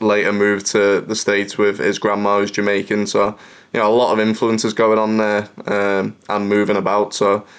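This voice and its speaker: A man with a fairly low pitch and a slight Liverpool accent speaks at a moderate pace in a monotone, flat intonation. His loudness is very even and the background is quiet. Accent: mild Scouse, posh-sounding. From Liverpool, England. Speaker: professional footballer. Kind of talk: interview.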